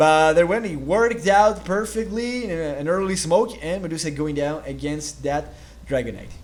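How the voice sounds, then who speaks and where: Audible room echo surrounds a man with a high pitch and a non-native accent, who speaks at a moderate pace with lively intonation. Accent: foreign accent in English. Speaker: esports caster. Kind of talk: live commentary. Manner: halting.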